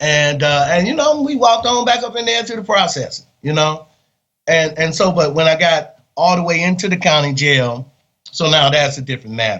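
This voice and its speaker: A fairly high-pitched man with an American accent at a moderate pace. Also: lively intonation. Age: 60s. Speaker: exoneree, former death row inmate. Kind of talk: interview testimony. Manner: halting with many fillers.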